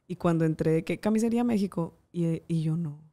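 Speaking fairly quickly, a woman's voice shows ordinary pitch variation. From Monterrey, Mexico. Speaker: TV presenter and makeup artist. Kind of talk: casual interview.

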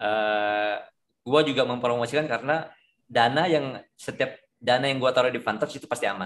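A man at a moderate pace, pitch moving by an ordinary amount. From Indonesia. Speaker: forex trader, community leader. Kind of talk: online discussion with investors and broker. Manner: casual, lots of fillers. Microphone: video call.

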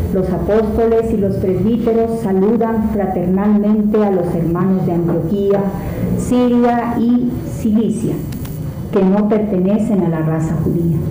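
Amid audible room echo and background music, a woman speaks at a fairly slow pace with fairly even intonation and very even loudness. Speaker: lay reader at Mass. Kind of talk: liturgical scripture reading. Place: church.

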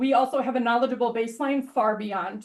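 Loud and high-pitched, a woman talks at a fairly quick pace with fairly even intonation. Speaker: ER nurse and volunteer EMT. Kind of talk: public comment at a meeting. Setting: village board meeting room. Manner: reading prepared statement.

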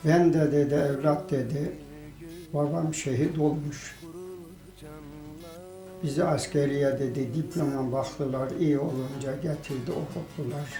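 With noticeable background noise behind him, a man speaks at a very slow pace with long, frequent pauses, a fairly high pitch and fairly even intonation. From Kayseri, Turkey. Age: 70s. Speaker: villager. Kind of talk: interview answer.

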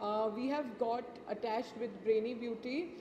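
Speech moves at a fairly slow pace amid noticeable background noise. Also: woman. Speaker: brand representative. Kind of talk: event interview. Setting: live event. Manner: halting. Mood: pleased, gracious. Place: hall. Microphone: handheld.

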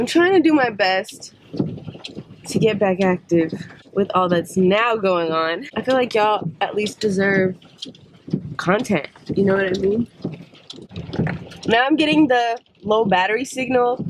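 Lively intonation from a woman at a fairly slow pace, with long, frequent pauses and noticeable background noise. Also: medium pitch for a woman. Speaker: vlogger. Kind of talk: casual vlog talk. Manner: animated.

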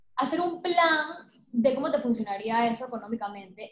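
A high-pitched woman's voice carries audible room echo and light background noise. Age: 30s. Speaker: painter; interviewee. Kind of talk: interview conversation. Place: home room. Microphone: webcam.

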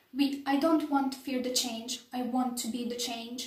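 A woman speaks in a Bosnian accent at a moderate pace and high pitch. Her intonation is monotone and flat, with audible room echo. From Bosnia and Herzegovina. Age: young. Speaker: political science student. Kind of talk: application video talk to camera. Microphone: phone near.

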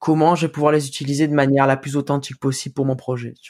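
At a very fast pace, the speaker talks in a monotone, flat intonation, with a dry, close sound with no echo on a very clean recording with a silent background. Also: man. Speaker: musician. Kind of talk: casual chat. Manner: casual, slangy.

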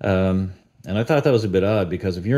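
Over a quiet background, a man with a Newfoundland accent speaks very fast, his very deep, low voice dark and mellow in tone, his intonation fairly even. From Newfoundland, Canada. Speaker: YouTuber, cover band guitarist. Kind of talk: casual monologue vlog. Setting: at home with dog. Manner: conversational, many fillers. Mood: critical, mildly exasperated. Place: home room. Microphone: studio mic.

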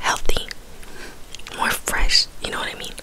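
Whispering from a woman. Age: 20s. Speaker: ASMR / mukbang creator. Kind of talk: casual talk to camera. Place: home room. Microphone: studio mic.

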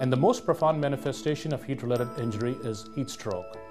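Clear music plays in the background as a man talks. His pace is fairly quick, with ordinary pitch variation. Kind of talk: health information report. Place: office. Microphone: lapel.

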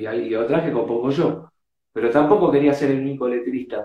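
In a Rioplatense accent, the speaker shows ordinary pitch variation over a quiet background with audible room echo. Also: man. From Argentina, Buenos Aires. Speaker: rock drummer. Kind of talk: casual interview. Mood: relaxed, animated storytelling. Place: home room. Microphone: video call.

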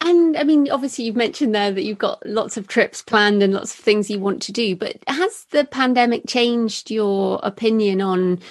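The background stays quiet. A woman talks with lively intonation. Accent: English. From Britain. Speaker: podcast host, thriller author. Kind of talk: podcast interview; scripted intro.

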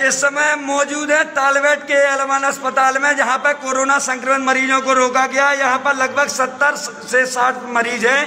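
A man speaks in a raised, projected voice at an extremely high pitch, slowly and with monotone, flat intonation, his loudness very even. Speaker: patient filming protest video. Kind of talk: protest video from hospital ward. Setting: hospital ward. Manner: loud, agitated.

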